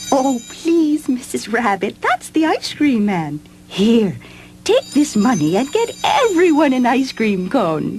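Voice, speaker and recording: A female-sounding voice puts on a character voice at a high pitch, going fairly slowly against clear background noise. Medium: audio drama. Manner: gentle, polite.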